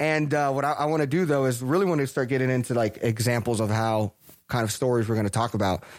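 A man at a very fast pace, medium pitch, with ordinary pitch variation. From Texas. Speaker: podcast host. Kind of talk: casual chat. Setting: office, wearing masks. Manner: halting, many fillers.

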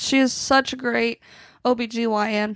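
A woman with a plain, everyday voice, pitched fairly high. The sound is dry and close with no echo, on a very clean recording with a silent background. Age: 20s. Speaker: podcast host and singer-songwriter. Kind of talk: casual chat.

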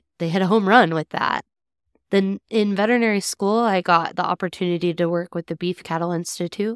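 A woman with an American accent talks at a fairly quick pace in a plain, everyday voice, fairly low in pitch with fairly even intonation, on a very clean recording with a silent background. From southwest Kansas. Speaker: veterinarian. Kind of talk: interview conversation.

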